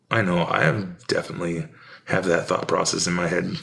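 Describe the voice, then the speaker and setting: Speech at a moderate pace comes with a Western US accent. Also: man. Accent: Americanized Western. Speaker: painter and video host. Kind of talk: casual monologue while painting. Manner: rambling, halting.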